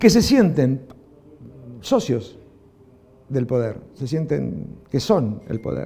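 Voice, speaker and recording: A man with an Argentine accent, very slow speech with long, frequent pauses, lively intonation, a dark, mellow tone and vocal fry. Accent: Rioplatense Argentine Spanish. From Argentina. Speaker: film director; interviewee. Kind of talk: interview. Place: studio. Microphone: lapel.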